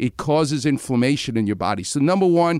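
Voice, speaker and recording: In a very clean recording with a silent background, a man with a New York accent speaks at a fairly high pitch with lively intonation. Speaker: orthopedic surgeon. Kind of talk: medical advice in radio interview.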